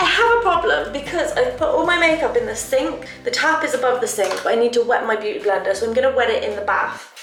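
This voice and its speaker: Over music in the background, a woman talks at a fairly quick pace with an extremely high pitch and very wide pitch swings. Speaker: beauty vlogger. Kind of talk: makeup tutorial. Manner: casual and chatty.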